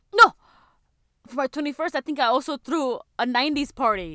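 A bright, sharp tone comes through in a raised, projected voice with very wide pitch swings. The pace is moderate, and the sound is dry and close with no echo. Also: woman. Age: 20s. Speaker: podcast co-host. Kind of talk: casual chat.

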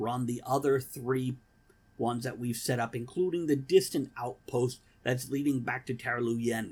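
A natural voice reading aloud, its intonation fairly even

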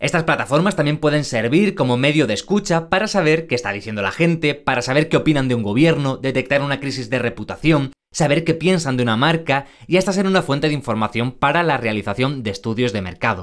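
A man's fairly high voice in a Spanish accent, very fast with hardly any pauses and lively intonation, on a very clean recording with a silent background. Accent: Spain Spanish. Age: 20s. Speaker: podcast host. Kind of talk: podcast presenting and interviewing.

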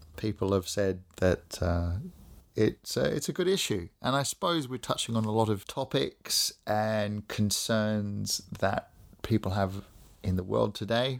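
In an Australian accent, a man talks at a fairly slow pace with a fairly low pitch. The recording is very clean, its background silent. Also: ordinary pitch variation. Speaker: podcast host. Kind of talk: podcast interview.

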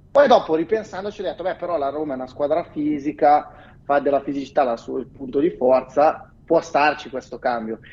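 Loudness swings widely as a man speaks at a fairly high pitch with ordinary pitch variation. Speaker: football fan commentator. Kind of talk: casual chat. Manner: measured, balanced.

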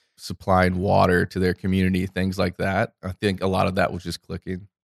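Recorded very cleanly against silence, a man with an American accent and a very deep, low voice sounds dry and close, with no echo. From Central Florida, US. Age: 20s. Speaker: investment executive. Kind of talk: interview conversation. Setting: studio.

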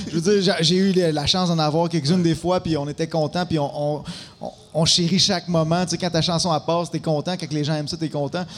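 A high-pitched man at a fairly quick pace, with noticeable background noise. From Quebec, Abitibi-Témiscamingue. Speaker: musician. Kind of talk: casual chat.

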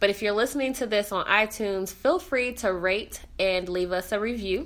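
Animated in tone, a woman speaks at a moderate pace with medium pitch and ordinary pitch variation. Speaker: podcast host. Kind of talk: casual interview chat. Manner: animated, laughs often.

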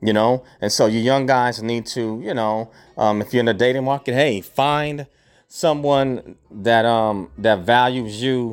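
A man at a medium pitch, ordinary pitch variation, a fairly slow pace, in a very clean recording with a silent background. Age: 50s. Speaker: podcast host. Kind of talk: solo monologue. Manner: halting, many fillers.

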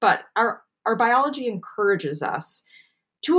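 An unremarkable speaking voice from a woman, fairly slow with lively intonation. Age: 30s. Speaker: anxiety podcast host and coach. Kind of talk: casual chat.

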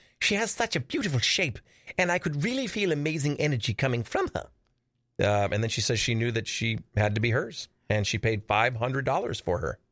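On a very clean recording with a silent background, a man with a normal speaking voice talks at a fairly quick pace and medium pitch, his intonation lively and his loudness very even. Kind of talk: casual chat. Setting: studio.

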